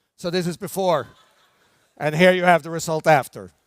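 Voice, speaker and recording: The man here speaks at a high pitch. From Norway. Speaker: brand development expert, conference speaker. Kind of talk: conference keynote talk. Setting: stage with audience. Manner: slow, deliberate pace.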